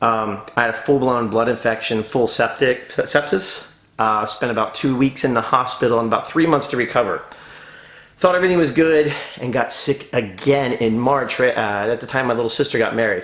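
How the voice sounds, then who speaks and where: Pitch moves in an ordinary way, with noticeable background noise behind the speech. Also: man, medium pitch for a man. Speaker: decorative painter and muralist. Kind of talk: vlog tutorial. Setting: empty bedroom on a job site. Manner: fast; talkative. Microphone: echo in empty room.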